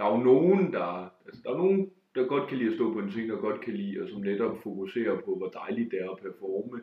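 A man talks at a fairly quick pace with lively intonation. He has an unremarkable speaking voice. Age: 20s. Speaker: stand-up comedian. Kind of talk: casual interview. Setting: at home.

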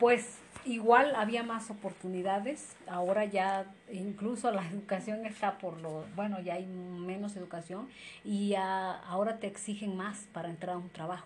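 A woman's medium-pitched, somewhat breathy voice with a central Mexican accent, fairly slow and fairly even in intonation, with audible room echo. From Mexico, Izúcar de Matamoros, Puebla. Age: 40s. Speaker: interviewee. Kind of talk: interview.

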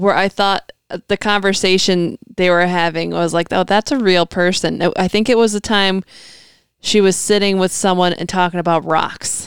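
A woman's medium-pitched, ordinary speaking voice at a moderate pace, very clean recording with a silent background and a dry, close sound with no echo. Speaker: podcast co-host. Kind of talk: casual chat.

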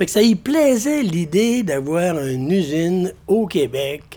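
With lively intonation, a man speaks in a high pitch. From Quebec, North Shore (Baie-Comeau). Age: 80s+. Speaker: storyteller. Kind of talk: storytelling.

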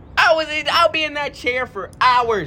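An animated, raised and projected man's voice, extremely high in pitch, with ordinary pitch variation and a fairly slow pace. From Jamaica. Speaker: podcast guest. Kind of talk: casual chat.

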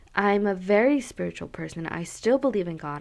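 A woman at a medium pitch speaks in an animated tone. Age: 20s. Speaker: podcast host. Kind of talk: casual solo chat.

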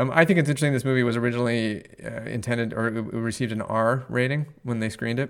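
A man talks at a very fast clip. His pitch sits in the middle range. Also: hardly any pauses. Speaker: podcast host. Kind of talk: casual chat. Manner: upbeat, energetic.

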